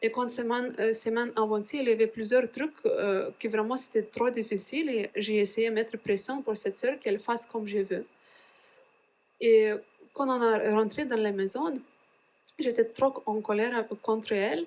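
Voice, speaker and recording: A woman speaks with a Lithuanian accent and a fairly high pitch. Her intonation is fairly even, broken by long, frequent pauses. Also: moderate pace. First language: Lithuanian (speaking French). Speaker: religious sister. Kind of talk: testimony. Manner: halting, many hesitations.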